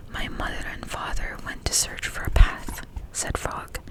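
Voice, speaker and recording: A woman whispers very slowly in a soothing tone. Noticeable background noise runs underneath. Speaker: ASMR creator. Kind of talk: bedtime story reading. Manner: whispered, soothing.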